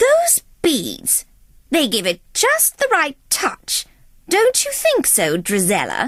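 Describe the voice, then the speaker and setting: A woman uses a put-on character voice at an extremely high pitch. She speaks very slowly. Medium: read story. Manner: cool, mocking.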